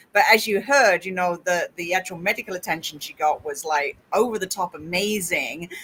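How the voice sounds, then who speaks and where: This voice has a bright, sharp tone. It moves at a fairly quick pace with ordinary pitch variation. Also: woman. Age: 50s. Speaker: podcast host and interviewer. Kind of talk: casual chat.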